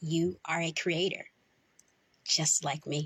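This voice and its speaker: A woman at a fairly low pitch, somewhat breathy with a gentle tone, at a very slow pace. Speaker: voice actor. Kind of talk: poetry reading. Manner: slow, gentle.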